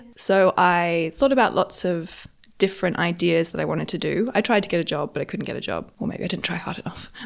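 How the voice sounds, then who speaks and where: A woman with a fairly low pitch talks at a fairly quick pace, with vocal fry. Her pitch varies in an ordinary way. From Australia, Sydney. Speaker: fashion accessories brand founder. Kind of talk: interview. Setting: in person in an apartment.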